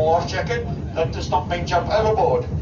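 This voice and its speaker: A man speaks at a moderate pace amid loud background noise. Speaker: boat crew guide. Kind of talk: safety briefing to passengers. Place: boat. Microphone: camera far.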